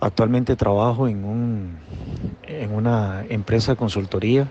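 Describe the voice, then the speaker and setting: This man's fairly low voice moves at a very slow pace with fairly even intonation. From Costa Rica, Guápiles. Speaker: accountant and consultant. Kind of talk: recorded interview answer.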